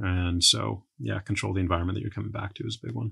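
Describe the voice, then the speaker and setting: In an American accent, a man talks with a very deep, low pitch, vocal fry and very wide pitch swings against a quiet background. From Texas, San Antonio. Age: 40s. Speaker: entrepreneur. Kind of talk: casual chat.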